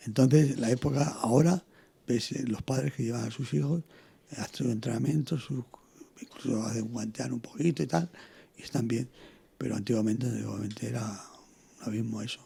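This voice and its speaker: A man's dark, mellow, medium-pitched voice with vocal fry, fairly quick in pace, with ordinary pitch variation and long, frequent pauses. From Spain, Toledo (born in Canary Islands). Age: 70s. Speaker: former boxer and trainer. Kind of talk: interview. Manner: halting.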